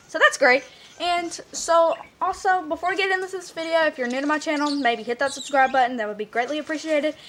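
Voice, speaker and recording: This woman talks at a very fast pace in a high voice, with ordinary pitch variation. Noticeable background noise runs underneath. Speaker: vlogger. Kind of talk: storytelling vlog.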